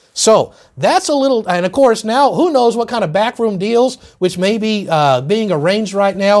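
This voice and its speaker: A man with a high pitch and lively intonation, on a very clean recording against a silent background. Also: moderate pace. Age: 50s. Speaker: political commentary host. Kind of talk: political commentary monologue.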